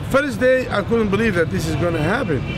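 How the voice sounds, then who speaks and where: A man's voice over noticeable background noise. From Egypt. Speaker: Islamic preacher. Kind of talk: interview answer. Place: street. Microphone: lapel.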